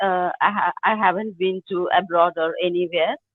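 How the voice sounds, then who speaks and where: A woman with a strong Indian accent, talking at a moderate pace. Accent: thick Indian. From India, Maharashtra. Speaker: English learner, administrator. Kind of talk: casual chat. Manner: halting.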